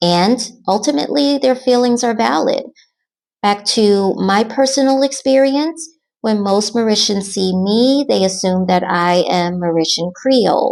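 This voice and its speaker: In a very clean recording with a silent background, a woman with an American accent uses a plain, everyday voice at a fairly high pitch. She talks at a fairly slow pace with lively intonation and very even loudness. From United States. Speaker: expat vlogger. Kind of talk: scripted Q&A narration.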